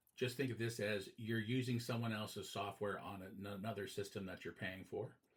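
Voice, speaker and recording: At a medium pitch, a man speaks in a somewhat breathy voice with fairly even intonation. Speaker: teacher. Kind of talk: lecture.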